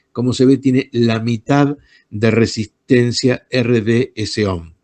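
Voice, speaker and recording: In an unremarkable speaking voice, a man talks with pitch that varies in an ordinary way. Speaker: electronics teacher. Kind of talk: online lecture. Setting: video call.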